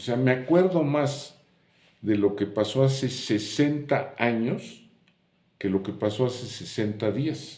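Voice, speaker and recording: At a very slow pace, the speaker uses a dark, mellow tone with ordinary pitch variation. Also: man, medium pitch for a man. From Mexico, Puebla. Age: 70s. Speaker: YouTuber sharing memories. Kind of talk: casual monologue, reminiscing.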